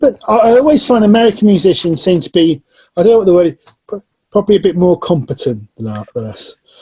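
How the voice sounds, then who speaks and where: This man, with an English Midlands accent, talks at a very fast pace in a high, dark, mellow voice with very wide pitch swings, the sound dry and close with no echo. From Northamptonshire, England. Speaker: musician and channel host. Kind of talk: casual chat.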